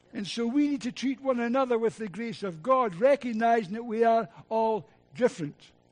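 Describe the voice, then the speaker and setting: In a Scottish accent, a man speaks at an extremely high pitch and a fairly quick pace, with ordinary pitch variation and a quiet background. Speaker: preacher. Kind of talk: sermon. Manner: animated.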